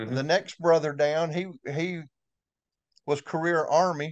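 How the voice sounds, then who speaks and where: A man's fairly high voice in a Southern US accent, with fairly even intonation over a quiet background. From Florida Panhandle, Destin. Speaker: retired towboat pilot. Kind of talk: interview. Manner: halting.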